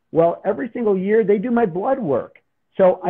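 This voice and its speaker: The background stays quiet. It is a man who talks. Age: 50s. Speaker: father and wellness product user; guest. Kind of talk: live stream interview. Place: home room. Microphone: video call.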